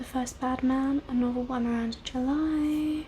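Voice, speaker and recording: A woman with a high pitch, fairly even intonation and a very slow pace, amid noticeable background noise. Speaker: ASMR content creator and book reviewer. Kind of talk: casual talk to camera, book review. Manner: soft-spoken, whispered.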